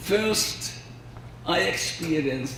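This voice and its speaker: A man speaks very slowly in a Hungarian accent, his intonation lively. The room echo is audible and background noise is noticeable. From Hungary. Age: 80s+. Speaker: violin researcher. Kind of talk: lecture.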